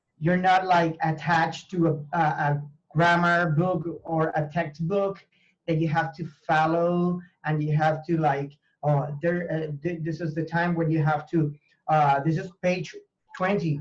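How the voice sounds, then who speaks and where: Someone speaks with a Spanish accent at a fairly slow pace. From Venezuela. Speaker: language teacher and university professor. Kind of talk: interview conversation. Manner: halting, with fillers and repetitions.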